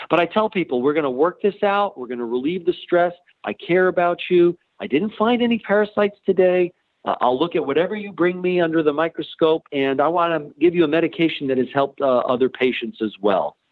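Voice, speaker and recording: A man speaks at a very fast pace. His pitch is high and his intonation lively. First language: Ukrainian. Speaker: nurse practitioner in dermatology. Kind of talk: interview. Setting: podcast.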